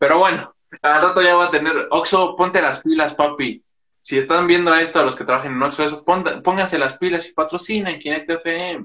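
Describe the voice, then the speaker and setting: A man's high voice keeps fairly even intonation and moves at a moderate pace. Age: young. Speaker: podcast host. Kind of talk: casual interview.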